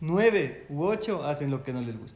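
Audible room echo fills the space. A man talks very slowly within it. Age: 20s. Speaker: journalist. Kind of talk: casual interview.

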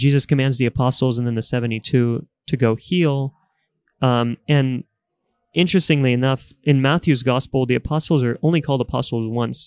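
In a dry, close recording with no echo, a man at medium pitch speaks at a fairly quick pace with fairly even intonation. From Bulgaria, moved to Texas at ten. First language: Bulgarian. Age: 20s. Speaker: consultant, podcast guest. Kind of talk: casual interview about faith and politics.

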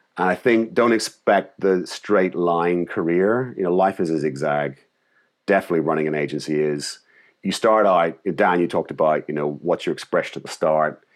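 Against a quiet background, a man with a Northern Irish accent talks at a moderate pace in a very deep, low voice with ordinary pitch variation. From Northern Ireland. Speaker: creative director and agency founder. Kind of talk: interview conversation. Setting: call.

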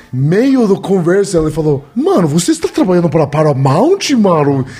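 With noticeable background noise around him, a man talks at a moderate pace. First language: Spanish (speaking Portuguese). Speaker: podcast guest. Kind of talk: casual chat.

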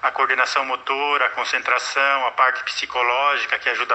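With noticeable noise behind him, a man talks fairly quickly in a fairly high pitch. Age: 50s. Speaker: retired security guard, jiu-jitsu student. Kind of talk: interview answers.

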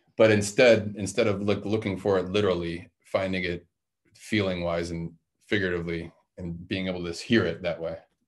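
A man with a Midwestern American accent, very deep, low pitch and monotone, flat intonation at a fairly quick pace. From Detroit, Michigan. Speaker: host's husband. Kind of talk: casual chat.

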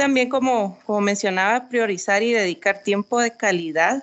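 Her voice is a normal speaking voice, medium in pitch for a woman, with fairly even intonation. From Guatemala. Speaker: executive producer. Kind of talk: podcast interview.

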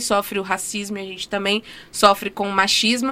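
This woman speaks at a moderate pace and a medium pitch. Her tone is bright and sharp. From Minas Gerais, Brazil. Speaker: dentist and housing rights activist. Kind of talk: interview. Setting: studio.

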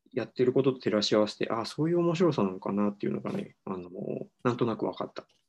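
With a dark, mellow tone, a man speaks at medium pitch while his voice makes very wide pitch swings. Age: 30s. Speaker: psychiatrist, book podcast co-host. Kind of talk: casual book discussion. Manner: halting, many fillers.

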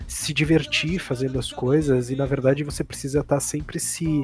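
Noticeable background noise fills the recording. Over it, a man talks in a fairly high pitch. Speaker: gaming podcast co-host. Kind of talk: casual chat.

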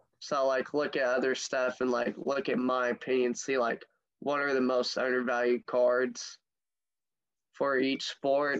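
In an American accent, an unremarkable speaking voice moves at a fairly slow pace with very even loudness and fairly even intonation. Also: man, medium pitch for a man. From US Midwest, St. Louis area. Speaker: card collector. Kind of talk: casual interview.

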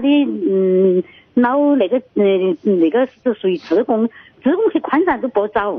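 The voice moves at a moderate pace, with very wide pitch swings. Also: woman. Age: 60s. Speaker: caller to radio advice show. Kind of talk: phone-in call. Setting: phone call. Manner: halting.

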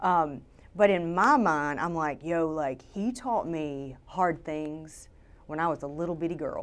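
With a Southern US accent, a woman speaks in an animated tone at a fairly slow pace, her pitch fairly low with ordinary variation. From Louisiana, Shreveport. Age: 40s. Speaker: photographer. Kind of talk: interview.

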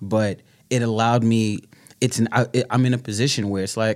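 Speaking in a New York accent, a man uses a fairly low pitch and fairly even intonation. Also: very clean recording, silent background. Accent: New York (Bronx). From New York, the Bronx. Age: 30s. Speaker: speaker and writer. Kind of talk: casual interview chat.

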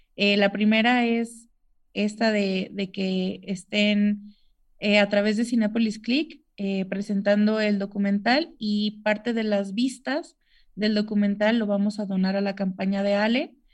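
This woman's somewhat breathy voice sits at a medium pitch, with fairly even intonation. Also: fairly slow pace. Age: 20s. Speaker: COVID survivor and amputee. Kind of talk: interview testimony. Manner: hesitant with many fillers.

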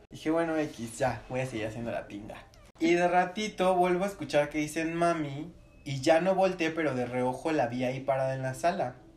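A man speaks with lively intonation. The room echo is audible. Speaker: paranormal enthusiast. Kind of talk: casual chat.

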